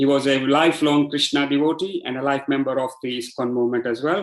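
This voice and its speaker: A man speaks with a Gujarati accent. His pace is very fast, and his pitch fairly high. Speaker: devotee giving a testimonial. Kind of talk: testimony.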